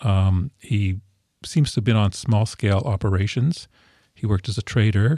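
With a Canadian accent, a man speaks at a fairly low pitch with ordinary pitch variation and a somewhat breathy, dark, mellow tone, in a dry, close sound with no echo. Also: moderate pace, very clean recording, silent background. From Ontario, Canada. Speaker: historian. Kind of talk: interview. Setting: studio.

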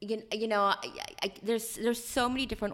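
A woman talks with an American accent while noticeable noise fills the background. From rural Ohio. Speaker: author and prison reform advocate. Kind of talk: interview storytelling.

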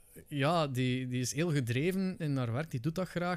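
A man's fairly high voice with a Flemish accent, very cleanly recorded against a silent background. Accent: Flemish Dutch. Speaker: Twitch streamer. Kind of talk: casual chat. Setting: studio.

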